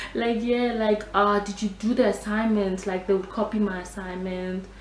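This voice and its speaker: With a Nigerian accent, a woman speaks at a moderate pace and medium pitch in an animated tone, with ordinary pitch variation. Noticeable background noise and audible room echo fill the recording. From Nigeria, raised partly in South Africa. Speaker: beauty vlogger. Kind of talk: storytime vlog.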